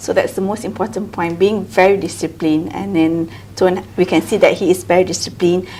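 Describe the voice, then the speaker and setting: Ordinary pitch variation marks a woman's unremarkable speaking voice at medium pitch. She talks at a fairly quick pace. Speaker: podcast host. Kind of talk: interview question.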